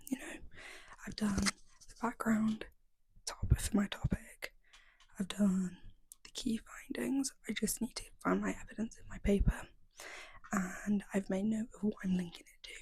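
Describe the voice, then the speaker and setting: A woman whispers at a fairly slow pace, somewhat breathy, with long, frequent pauses and big swings in loudness. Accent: English. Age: 20s. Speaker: university student and vlogger. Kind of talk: casual vlog narration. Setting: library study room. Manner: whispering in the library.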